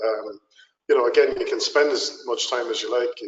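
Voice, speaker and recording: A man talks with an Irish accent. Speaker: tourist attraction representative. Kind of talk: webinar Q&A. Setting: webinar call.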